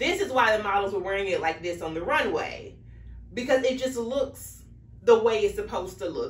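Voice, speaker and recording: Audible room echo colors the recording. The pace is moderate. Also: woman. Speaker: fashion vlogger. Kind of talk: casual vlog chat. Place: home room. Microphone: camera far.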